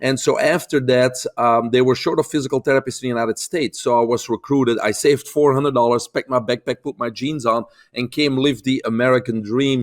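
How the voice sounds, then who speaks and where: A man's voice at a very fast pace with a Belgian accent, medium pitch and fairly even intonation, dry and close with no echo, on a very clean recording with a silent background. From Belgium. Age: 50s. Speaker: holistic health expert. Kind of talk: interview.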